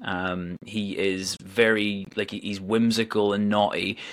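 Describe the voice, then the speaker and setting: A man at a fairly low pitch in a Northern Irish accent. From Northern Ireland. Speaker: musician and theatre performer. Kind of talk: interview. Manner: hesitant, many fillers.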